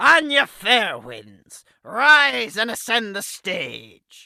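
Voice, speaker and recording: Delivered at a very slow pace, a put-on character voice with a fairly high pitch comes through on a very clean recording with a silent background. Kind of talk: courtroom speech. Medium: audio drama. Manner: formal, authoritative.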